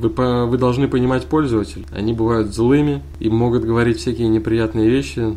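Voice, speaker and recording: A man swings his pitch very widely as music plays in the background. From Kazan, Tatarstan. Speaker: podcast co-host, university IT support worker. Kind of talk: casual chat.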